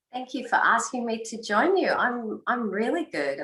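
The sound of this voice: A woman puts on a husky character voice, fairly high in pitch with very wide pitch swings, at a moderate pace.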